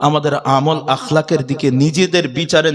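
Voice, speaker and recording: Over noticeable background noise, a man talks in an animated tone. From Bangladesh. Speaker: Islamic preacher. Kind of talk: sermon. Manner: animated, calls for loud audience responses.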